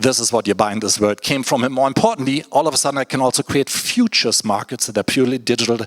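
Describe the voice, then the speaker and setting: A man at a medium pitch talks at a very fast pace with hardly any pauses and fairly even intonation, the sound dry and close with no echo and noticeable background noise behind him. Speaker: tech speaker and writer. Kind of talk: conference talk.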